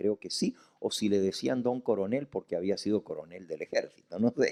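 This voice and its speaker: A moderate pace carries this voice, recorded with a dry, close sound and no echo. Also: man. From Argentina, Santa Fe. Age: 60s. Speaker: pastor. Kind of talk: sermon.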